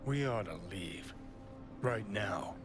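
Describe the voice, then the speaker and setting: A man performs a put-on character voice. Loud background noise is present. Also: fairly low pitch for a man. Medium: video game. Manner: sarcastic, brash.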